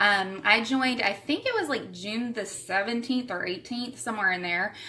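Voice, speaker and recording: With a Southern US accent and a fairly high pitch, a woman speaks amid noticeable background noise and audible room echo. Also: ordinary pitch variation, moderate pace. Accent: Southern US (Georgia). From Savannah, Georgia, US South. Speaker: direct sales distributor. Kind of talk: live stream recruiting talk. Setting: livestream from home. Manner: animated.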